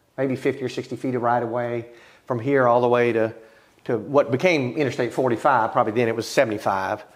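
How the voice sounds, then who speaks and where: A man speaks with a Texan accent at a moderate pace. His medium pitch stays fairly even in intonation. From Tomball, Texas. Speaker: oral history interviewee. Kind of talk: oral history interview answer. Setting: museum. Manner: hesitant, storytelling. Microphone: lapel.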